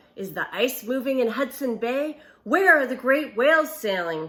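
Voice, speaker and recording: A woman in a put-on character voice. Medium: read story. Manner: bold, sharp.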